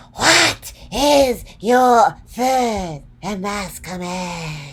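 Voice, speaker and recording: A breathy, put-on character voice with a fairly high pitch speaks at a very slow pace. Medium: read story. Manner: solemn.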